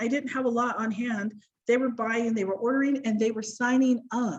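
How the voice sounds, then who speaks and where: Her pitch is high for a woman, and this woman's voice shows ordinary pitch variation. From US, Idaho. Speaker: direct sales director. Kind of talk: personal business story on a panel. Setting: video call. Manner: fast.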